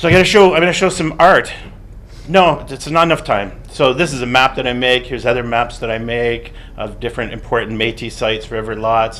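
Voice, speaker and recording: A man with a Canadian accent, medium pitch and lively intonation at a fairly quick pace, in audible room echo. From Canadian prairies (Alberta). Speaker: artist and art critic. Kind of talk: conference talk; reading a paper aloud. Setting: seminar room with audience. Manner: fast.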